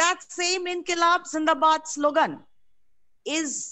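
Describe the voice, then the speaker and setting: Speaking at a very slow pace, a woman uses a high voice. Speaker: political activist, party politburo member. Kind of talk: political speech. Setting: video call.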